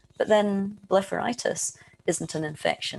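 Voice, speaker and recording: Using vocal fry, a woman with a Scottish accent speaks with ordinary pitch variation. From Scotland. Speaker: eye researcher, professor. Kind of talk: webinar lecture. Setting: online webinar.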